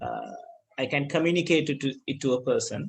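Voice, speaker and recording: A man with a Sri Lankan accent talks at a moderate pace. His pitch is fairly high. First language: Sinhala. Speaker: school ICT teacher. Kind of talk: online class lesson. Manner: halting, with repetitions.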